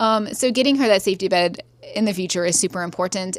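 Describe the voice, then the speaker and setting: With an American accent, the speaker uses ordinary pitch variation. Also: woman. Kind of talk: casual vlog. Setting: in a tent bed. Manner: fast.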